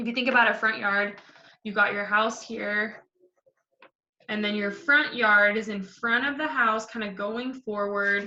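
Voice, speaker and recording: A woman speaks at a fairly slow pace with a fairly high pitch. Her intonation is fairly even, in a normal speaking voice. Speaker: elementary school teacher. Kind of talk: tutorial.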